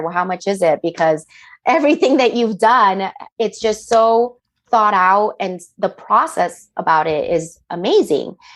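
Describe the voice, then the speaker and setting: Here is a woman with a Spanish accent. Her pitch sits in the medium range. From Miami, Florida, Colombian-Panamanian family. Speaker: interior designer, business owner. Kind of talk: podcast interview. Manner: animated.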